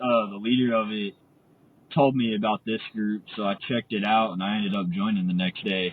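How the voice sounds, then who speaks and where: A man with a Texan accent at a moderate pace. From Texas, Amarillo. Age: 20s. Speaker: community member. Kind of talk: casual interview.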